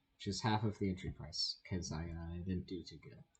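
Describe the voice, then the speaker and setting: A fairly low-pitched man speaks with a somewhat breathy voice. His pace is moderate, with ordinary pitch variation. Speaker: gaming YouTuber. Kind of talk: gameplay commentary and tutorial. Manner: casual, hesitant with fillers. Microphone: bad audio.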